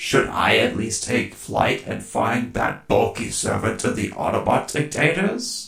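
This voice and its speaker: A man performs a put-on character voice. He goes at a fairly slow pace with hardly any pauses. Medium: machinima. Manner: sneering, haughty.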